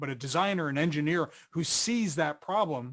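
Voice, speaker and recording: A man with an American accent and an ordinary speaking voice, fairly high in pitch, with ordinary pitch variation and a fairly quick pace, on a very clean recording with a silent background. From US Northeast, Philadelphia. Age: 50s. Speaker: research director and author. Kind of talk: webcast interview.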